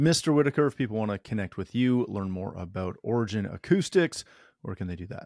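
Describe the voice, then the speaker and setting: In a very clean recording with a silent background and a dry, close sound with no echo, a man with a plain, everyday voice and a fairly low pitch talks at a fairly quick pace with lively intonation. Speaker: podcast host. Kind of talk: panel discussion, casual interview.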